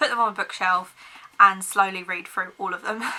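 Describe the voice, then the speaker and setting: Speaking with an English accent, a woman keeps a medium pitch and a moderate pace. Her intonation is monotone and flat, and background noise is noticeable. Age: 20s. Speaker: book vlogger. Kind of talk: casual chat.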